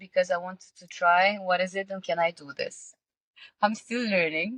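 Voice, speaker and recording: A fairly slow Russian-accented voice, with a dry, close sound and no echo. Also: woman. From Russia, small town. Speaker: singer, model and entrepreneur. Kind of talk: podcast interview. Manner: halting, many fillers.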